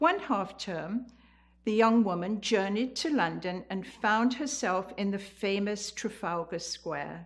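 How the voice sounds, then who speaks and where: In a very clean recording with a silent background, a woman speaks with an English accent. Her pace is very slow, and her medium pitch shows ordinary variation. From England, the Fens (Cambridgeshire). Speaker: community storyteller, senior. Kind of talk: personal storytelling.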